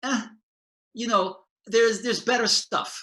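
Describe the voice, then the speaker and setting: A man speaks with a bright, sharp tone. His voice is raised and projected. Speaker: painter and art educator. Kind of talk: casual conversation. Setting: video call.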